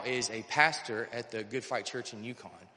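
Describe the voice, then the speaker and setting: There is noticeable background noise behind this speaker. He is a man with an American accent, medium pitch and fairly even intonation. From North Carolina. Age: 30s. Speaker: recovery program resident. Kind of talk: testimony. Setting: church service. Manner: halting.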